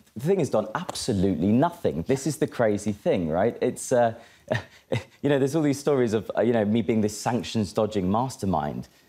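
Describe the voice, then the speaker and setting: A man with a British accent speaks fairly quickly at medium pitch, his tone dark and mellow. His intonation is lively and his loudness very even. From Britain. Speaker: cryptocurrency expert. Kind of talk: interview. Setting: studio.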